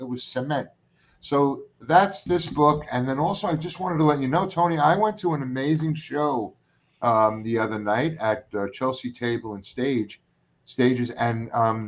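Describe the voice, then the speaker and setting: Here a man speaks with a Brooklyn accent. His intonation is lively and his pace moderate. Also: medium pitch for a man. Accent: New York (Brooklyn). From New York, Brooklyn. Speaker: talk show host. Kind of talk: casual chat. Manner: animated.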